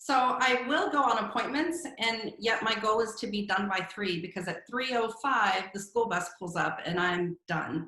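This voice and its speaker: Her pitch sits fairly high and her intonation is lively. The woman talks with hardly any pauses. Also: moderate pace. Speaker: real estate team owner. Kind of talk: podcast interview. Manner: loud.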